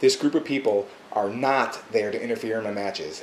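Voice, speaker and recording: A man speaks at a fairly quick pace with ordinary pitch variation. There is noticeable background noise. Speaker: pro wrestler. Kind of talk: wrestling promo monologue to camera. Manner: smug, boastful, self-assured.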